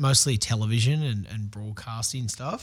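A medium-pitched man with an Australian accent at a fairly slow pace, on a very clean recording with a silent background. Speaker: pro skateboarder and TV host. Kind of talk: casual interview. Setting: radio studio.

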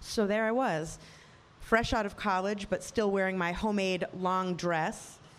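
A woman's medium-pitched voice at a moderate pace. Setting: stage with audience.

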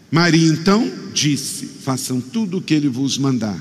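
Over noticeable background noise and audible room echo, a man talks at a very slow pace with very wide pitch swings. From Rio de Janeiro state, Brazil. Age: 50s. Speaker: pastor. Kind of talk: sermon.

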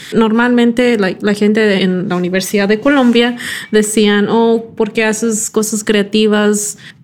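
A woman's fairly high, monotone, flat delivery at a fairly slow pace and very even loudness. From California (Silicon Valley), from Mexico as a small child. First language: English (speaking Spanish). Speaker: product designer. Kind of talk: interview.

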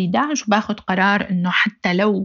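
A somewhat breathy woman of medium pitch at a very slow pace. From Syria, Aleppo. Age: 30s. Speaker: human rights activist. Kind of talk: personal testimony interview.

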